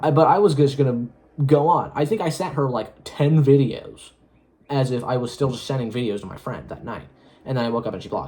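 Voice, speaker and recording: With a dark, mellow tone and a fairly high pitch, a man speaks somewhat breathily at a fairly quick pace, his loudness swinging widely. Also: ordinary pitch variation. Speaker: solo vlogger. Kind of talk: casual monologue. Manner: fast; halting.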